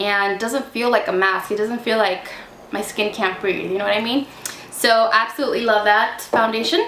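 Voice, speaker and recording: A woman speaks at a fairly high pitch. Noticeable background noise and audible room echo accompany her. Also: fairly even intonation, moderate pace. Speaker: beauty vlogger. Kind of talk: casual product review to camera. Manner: chatty, casual.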